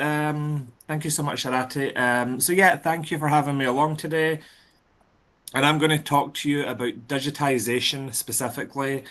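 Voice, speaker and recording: A man with a Scottish accent speaks at a moderate pace in a fairly high pitch. His tone is bright and sharp against a quiet background. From Scotland, lives in London. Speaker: conference speaker on library digitization. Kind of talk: presentation.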